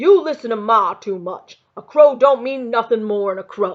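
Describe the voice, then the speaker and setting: In a put-on character voice with an Appalachian accent, a woman talks at a moderate pace with fairly high pitch and lively intonation. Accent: rural Appalachian dialect. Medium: read story. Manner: gruff, bossy.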